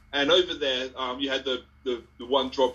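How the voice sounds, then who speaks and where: Here a man speaks at a medium pitch. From Ipswich, Suffolk, England. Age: 40s. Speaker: community speaker on dual heritage. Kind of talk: casual chat. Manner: hesitant, many fillers.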